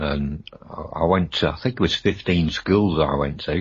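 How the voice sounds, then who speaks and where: A man's very deep, low voice, somewhat breathy, at a moderate pace. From Rhodesia (Zimbabwe), Bulawayo. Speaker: paranormal radio guest. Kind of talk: radio interview. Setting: radio show.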